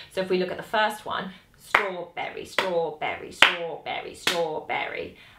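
Against loud background noise, a woman speaks at a fairly slow pace. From Britain. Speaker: saxophone teacher. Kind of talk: tutorial. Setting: home recording with videographer. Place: home room.

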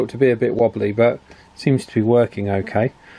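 Keeping a moderate pace, a man speaks with fairly even intonation. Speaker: radio repair hobbyist. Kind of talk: tutorial. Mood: relaxed, pleased. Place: workshop. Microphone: phone near.

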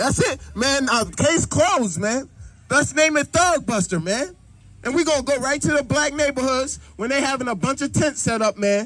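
A man talks loudly at a moderate pace in an extremely high pitch, with lively intonation and an animated tone. The sound is dry, with no echo. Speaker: street preacher. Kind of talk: street preaching. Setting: outdoors. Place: open country.

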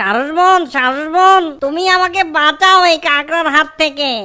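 A woman uses a put-on character voice at an extremely high pitch. She goes at a fairly slow pace. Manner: pleading.

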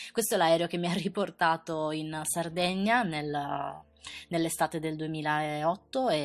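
This woman has a plain, everyday voice, fairly low in pitch, with fairly even intonation against a quiet background. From Sardinia, Italy. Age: 20s. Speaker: beauty youtuber. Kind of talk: personal storytelling narration.

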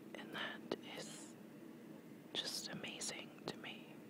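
A soft-spoken whisper moves at a very slow pace. The sound is dry with no echo, though loud noise fills the background. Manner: soft whispered ASMR rambling.

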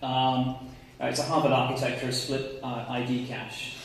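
A man's voice rings with strong room echo. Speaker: conference presenter. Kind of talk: lecture. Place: hall. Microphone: camera far.

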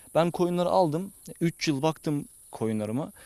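A man's pitch swings very widely. The background is quiet and the sound is dry and close with no echo. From Zonguldak, Turkey. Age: 20s. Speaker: young farmer. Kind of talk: interview. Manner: hesitant, many fillers.

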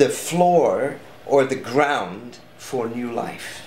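Very slowly, a man speaks with a strong Dutch accent. Light background noise and audible room echo are present. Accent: thick Dutch. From Netherlands. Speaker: artist and speaker. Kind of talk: interview answer. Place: home room.

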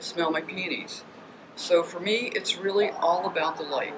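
A woman talks at a fairly slow pace and a fairly low pitch. Noticeable background noise sits behind her. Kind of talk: interview answer.

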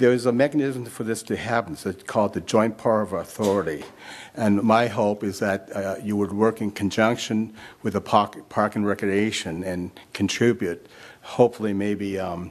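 At a moderate pace, a man talks with a fairly low pitch and fairly even intonation. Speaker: public commenter at council meeting. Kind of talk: public comment speech. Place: hall. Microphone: podium.

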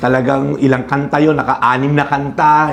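Noticeable background noise fills the clip. Over it, a man speaks at a fairly high pitch. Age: 50s. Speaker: pastor. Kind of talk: casual interview.

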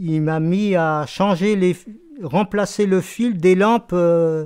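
A man talks at a very slow pace with a high pitch and fairly even intonation. The background is quiet. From Brittany, Fougères; Brittany. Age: 70s. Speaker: retired shoe factory worker. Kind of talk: oral history interview; interview answer. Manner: halting, many hesitations. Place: home room.

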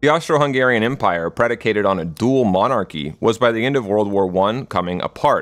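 Speaking at a fairly quick pace, a man with an ordinary speaking voice and fairly low pitch uses lively intonation. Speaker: video essayist. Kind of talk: scripted narration.

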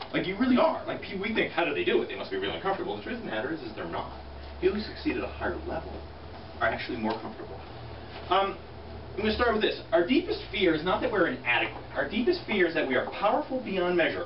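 Speech rushes along at a very fast pace. Background noise is noticeable throughout. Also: man. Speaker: real estate team leader. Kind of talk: motivational talk. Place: meeting room. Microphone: camera far.

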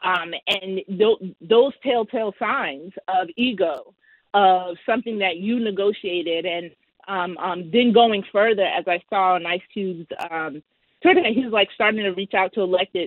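Over a quiet background with dry, echo-free sound, a woman talks at a fairly slow pace with ordinary pitch variation. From US Northeast, Queens, New York; New York. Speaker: political strategist; guest. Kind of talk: interview. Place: home room. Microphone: video call.

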